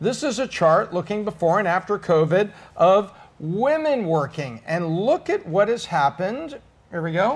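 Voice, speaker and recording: Upbeat and energetic, a man speaks at a high pitch and a fairly slow pace with lively intonation. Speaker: podcast host. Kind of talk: business podcast hosting, presenting stats and interview. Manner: upbeat, energetic.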